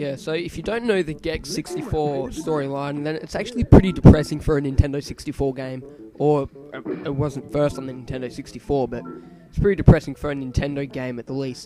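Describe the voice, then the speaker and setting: With an Australian accent, a man speaks fairly high and fairly quickly, his loudness swinging widely over music in the background. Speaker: gaming video creator. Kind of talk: let's play commentary. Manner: hesitant, many fillers.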